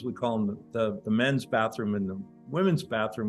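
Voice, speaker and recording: With music playing in the background, a man at a medium pitch speaks with lively intonation. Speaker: spiritual teacher. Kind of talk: casual conversation.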